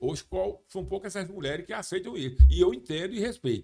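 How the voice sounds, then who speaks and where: His voice sits at a high pitch for a man. This male speaker keeps a moderate pace. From Brazil, Paraíba (João Pessoa). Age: 60s. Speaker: radio and TV sports journalist, former police officer. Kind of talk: podcast interview. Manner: halting, many false starts.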